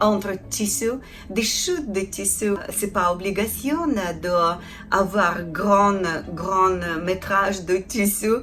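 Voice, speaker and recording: Someone speaks very slowly in a Ukrainian accent, with ordinary pitch variation and music in the background. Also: woman. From Ukraine. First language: Ukrainian (speaking French). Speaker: felting artisan. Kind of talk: tutorial. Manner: halting, many hesitations.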